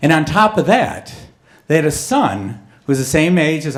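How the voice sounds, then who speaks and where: Noticeable background noise sits behind a man speaking at a moderate pace with ordinary pitch variation. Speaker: storyteller. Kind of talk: live storytelling performance.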